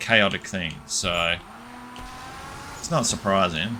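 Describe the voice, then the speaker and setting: A man talks very slowly. Noticeable background noise runs underneath. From Australia. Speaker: gaming streamer. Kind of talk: live gameplay commentary. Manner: casual, with filler sounds.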